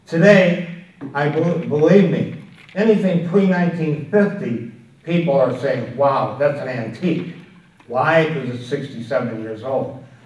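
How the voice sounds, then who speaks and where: Over noticeable background noise and audible room echo, a man talks at a fairly slow pace in a fairly high pitch with lively intonation. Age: 80s+. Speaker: antiques dealer and collector. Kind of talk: talk to an audience. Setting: room with a live audience. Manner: halting.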